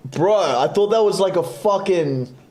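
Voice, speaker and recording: Music can be heard behind the voice. The words come out very slowly. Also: man. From Australia. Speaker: forex day trader streamer. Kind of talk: casual live stream chat. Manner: casual, profane.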